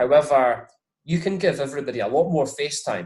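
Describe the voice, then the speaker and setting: A man speaks with a Scottish accent. His voice is somewhat breathy. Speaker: whisky brand ambassador. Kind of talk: interview.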